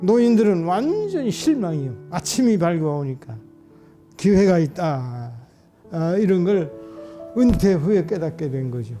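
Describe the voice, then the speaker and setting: Over music in the background, a man speaks at a high pitch and a fairly slow pace, his pitch swinging very widely between long, frequent pauses. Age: 80s+. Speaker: retired pastor. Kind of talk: interview answer.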